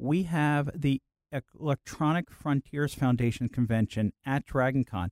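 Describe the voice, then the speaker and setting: Dry and close with no echo, a man's voice shows ordinary pitch variation. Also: fairly high pitch for a man, fairly slow pace. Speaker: convention media relations director. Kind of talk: radio interview. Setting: radio studio.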